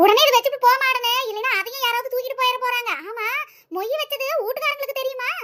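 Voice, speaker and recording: In a put-on character voice, a woman squeaks at an extremely high pitch, talking at a fairly quick pace with fairly even intonation. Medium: cartoon. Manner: bossy, brisk.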